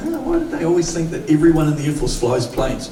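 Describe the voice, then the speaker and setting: Fairly quick speech with a New Zealand accent comes through audible room echo and noticeable background noise. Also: man. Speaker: pastor. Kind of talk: sermon. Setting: church. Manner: animated.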